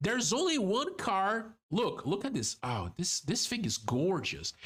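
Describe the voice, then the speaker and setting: In a Brazilian Portuguese accent, a man speaks with an animated tone. His pace is fairly slow and his loudness very even. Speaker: vtuber. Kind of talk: casual chat. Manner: halting.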